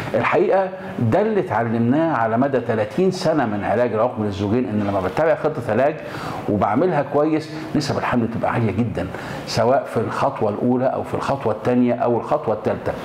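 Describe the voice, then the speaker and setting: Noticeable background noise runs under the recording. A man speaks at a fairly quick pace. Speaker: gynecology professor. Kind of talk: explanatory talk to camera. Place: office. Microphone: lapel.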